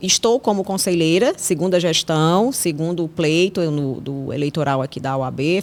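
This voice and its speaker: In a normal speaking voice, a woman with a fairly low pitch talks with ordinary pitch variation. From Ceará, Vale do Jaguaribe (Russas), Brazil. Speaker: criminal lawyer. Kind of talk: interview. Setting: podcast studio.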